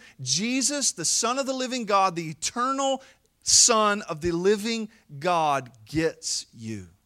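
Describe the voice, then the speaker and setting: The voice is raised and projected, with a bright, sharp tone. It moves at a very slow pace through very wide pitch swings. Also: man, high pitch for a man. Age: 40s. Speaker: pastor. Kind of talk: sermon.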